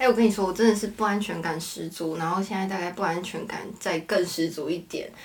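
Amid noticeable background noise, a woman of medium pitch speaks at a very fast pace with hardly any pauses and fairly even intonation. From Taiwan, Hakka family. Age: 20s. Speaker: interior designer and university student. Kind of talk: casual chat.

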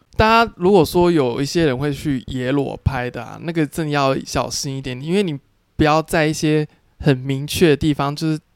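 In a Taiwanese accent, a man speaks at a fairly high pitch with ordinary pitch variation, recorded dry and close with no echo. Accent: Taiwanese Mandarin. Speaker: adult film actor. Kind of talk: casual interview chat.

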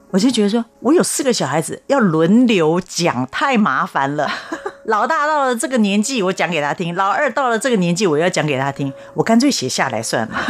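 Over noticeable background noise, a woman with a Taiwanese accent talks at a fairly quick pace and medium pitch, with very wide pitch swings. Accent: Taiwanese Mandarin. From Taiwan, Taipei. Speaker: children's author. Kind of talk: interview.

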